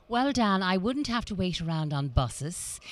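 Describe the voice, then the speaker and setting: In a very clean recording with a silent background, a woman talks at a moderate pace with lively intonation. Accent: Dublin. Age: 60s. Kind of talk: interview. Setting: motor show event.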